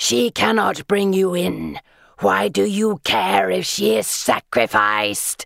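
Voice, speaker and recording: The speaker performs a put-on character voice at a low pitch. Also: fairly slow pace. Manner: doomed, sinister.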